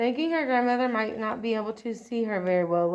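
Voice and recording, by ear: The pitch moves in an ordinary way as this passage is read aloud in a natural voice.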